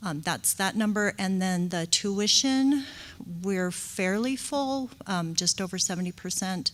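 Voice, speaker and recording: A soft-spoken woman at medium pitch, with ordinary pitch variation and a fairly slow pace. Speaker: school district director of early childhood education. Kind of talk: board meeting report. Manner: hesitant, many fillers.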